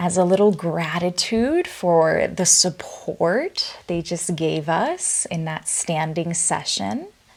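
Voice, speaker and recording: Soft-spoken and at a very slow pace, a woman talks at a medium pitch. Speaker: yoga instructor. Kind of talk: guided yoga class. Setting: virtual studio.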